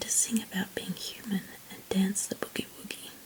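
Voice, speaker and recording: A whisper set against noticeable background noise. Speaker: ASMR artist. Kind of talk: read story. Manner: whispered.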